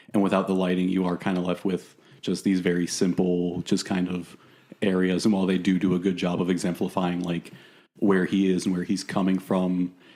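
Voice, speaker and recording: A man with a very deep, low voice and a dark, mellow tone speaks in a flat monotone at a fairly quick pace. The recording is very clean, with a silent background. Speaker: film podcast panelist. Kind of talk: casual chat. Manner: fast.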